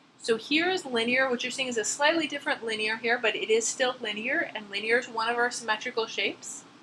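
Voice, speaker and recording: Over noticeable background noise, a woman with a high pitch talks at a very fast pace with ordinary pitch variation. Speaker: chemistry instructor. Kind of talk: lecture.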